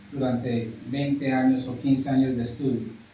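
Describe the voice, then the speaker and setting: A man speaks with a fairly high pitch for a man. Noticeable background noise and audible room echo fill the recording. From US, New York (Brooklyn). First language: English (speaking Spanish). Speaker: English teacher. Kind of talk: interview. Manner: halting, with fillers and repetitions.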